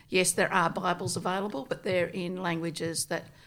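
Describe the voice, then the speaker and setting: A woman talks at a moderate pace with a fairly low pitch. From rural New South Wales, Australia. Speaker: Bible translation missionary. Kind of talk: casual interview.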